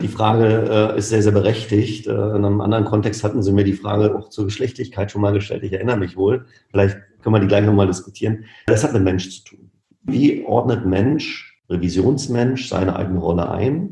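A dark, mellow, somewhat breathy tone at a fairly quick pace, with fairly even intonation and big swings in loudness. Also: man, fairly low pitch for a man. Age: 40s. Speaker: management consultant, former insurance executive. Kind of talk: interview.

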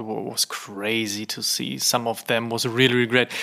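With a German accent, a man speaks at medium pitch and a moderate pace in monotone, flat intonation. Noticeable background noise runs underneath. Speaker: podcast host. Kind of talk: interview.

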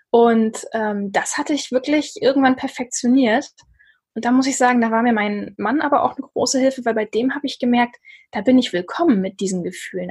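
A woman speaks at a moderate pace. Her voice sits high in pitch. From northern Germany, Lübeck. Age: 30s. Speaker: author and blogger. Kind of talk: casual interview conversation.

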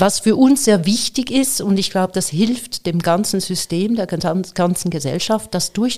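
A woman speaks at a medium pitch with lively intonation on a very clean recording with a silent background. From Switzerland. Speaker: AI entrepreneur and speaker. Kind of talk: interview.

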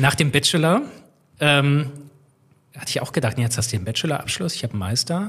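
With lively intonation and a fairly high pitch, a man talks at a fairly quick pace, leaving long, frequent pauses. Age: 30s. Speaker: railway systems engineer, former train driver. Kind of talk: podcast interview.

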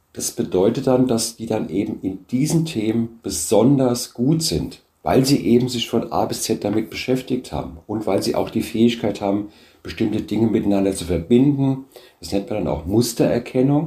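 A man's somewhat breathy voice has a dark, mellow tone and lively intonation. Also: medium pitch for a man, moderate pace. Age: 60s. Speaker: business founder. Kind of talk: interview.

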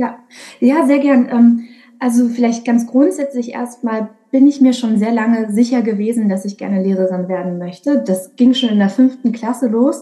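With noticeable background noise behind her, a woman speaks at a moderate pace and fairly high pitch, with ordinary pitch variation. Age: 20s. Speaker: primary school music teacher. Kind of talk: interview. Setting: video call.

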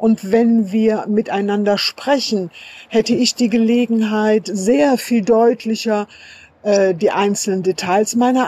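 The woman speaks at a very slow pace. Her intonation stays fairly even. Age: 50s. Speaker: sex worker and association chair. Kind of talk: voice message statement.

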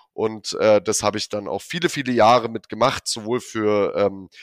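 A man's unremarkable speaking voice at medium pitch, on a very clean recording with a silent background. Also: dry, close sound with no echo. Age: 30s. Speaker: wealth manager. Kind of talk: corporate podcast interview.

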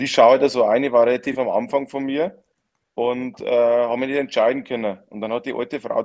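A man speaks at a moderate pace with a medium pitch. He has a plain, everyday voice. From Lower Bavaria, Germany. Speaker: professional footballer. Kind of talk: casual chat.

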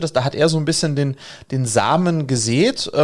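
In a very clean recording with a silent background, a man has a normal speaking voice. His pitch is fairly high, with ordinary variation, and his pace is moderate. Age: 40s. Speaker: education entrepreneur. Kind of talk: podcast interview.

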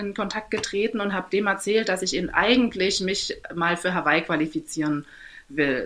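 A woman's bright, sharp tone at a moderate pace, with lively intonation. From Saxony, eastern Germany (Torgau). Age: 30s. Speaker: amateur triathlete. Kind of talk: interview.

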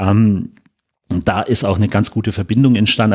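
Intonation stays fairly even as this man talks. His pace is fairly quick. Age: 30s. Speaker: football club supervisory board member. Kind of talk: podcast interview. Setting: studio, in person. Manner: hesitant, many fillers.

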